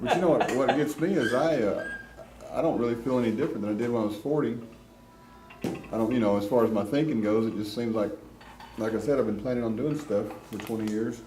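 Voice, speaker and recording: The speech comes at a very fast pace, split by long, frequent pauses. Music plays in the background and room echo is audible. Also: man, medium pitch for a man, ordinary pitch variation. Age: 50s. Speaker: amateur videographer filming an art class. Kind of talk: casual chat. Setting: art class.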